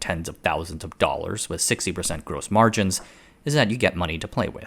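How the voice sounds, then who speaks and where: In a very clean recording with a silent background, a man with a very deep, low pitch talks at a fairly quick pace with lively intonation. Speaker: video essayist. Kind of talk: scripted narration.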